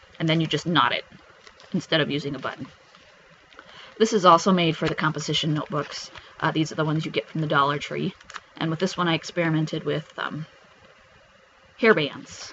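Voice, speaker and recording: Over noticeable background noise, a man talks fairly quickly in a fairly high pitch, with fairly even intonation and long, frequent pauses. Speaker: craft YouTuber. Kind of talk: show-and-tell tutorial. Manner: fast; hesitant with many fillers.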